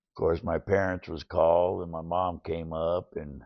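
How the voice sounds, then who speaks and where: A man speaks in a very deep, low pitch. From US West Coast, rural central California. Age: 60s. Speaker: recovering addict and veteran. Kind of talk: interview storytelling. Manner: casual, halting with repeats.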